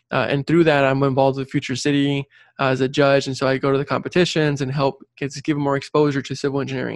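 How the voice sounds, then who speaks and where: Against a quiet background, a man with a fairly high voice rattles along very fast in a monotone, flat delivery, the sound dry and close with no echo. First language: Spanish. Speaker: civil engineer and career coach. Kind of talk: interview conversation.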